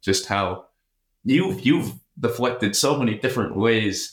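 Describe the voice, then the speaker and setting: A man speaks in a normal speaking voice at a medium pitch and a moderate pace, with ordinary pitch variation on a very clean recording with a silent background. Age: 20s. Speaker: finance student. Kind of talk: interview.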